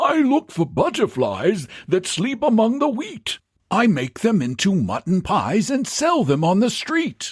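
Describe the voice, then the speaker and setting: A man mumbles in a put-on character voice at a fairly slow pace, high-pitched with very wide pitch swings and very even loudness, on a very clean recording with a silent background. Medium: read story. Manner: slow, mild, muttering and mumbling.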